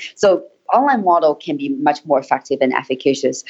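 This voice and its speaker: A woman talks with a Chinese accent and ordinary pitch variation. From Hebei and Harbin, China. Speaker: startup founder and English teacher.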